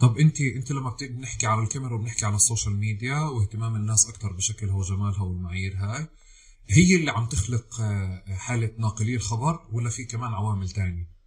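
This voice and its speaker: A man with a Palestinian accent talks fairly quickly at a medium pitch. His pitch varies in an ordinary way over noticeable background noise. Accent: Palestinian Levantine Arabic. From Palestine. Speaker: podcast host. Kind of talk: interview conversation.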